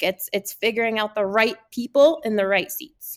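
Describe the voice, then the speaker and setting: A high-pitched woman at a fairly quick pace. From Connecticut, US Northeast. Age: 30s. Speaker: business consultant and nonprofit director. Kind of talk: interview testimony. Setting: remote call.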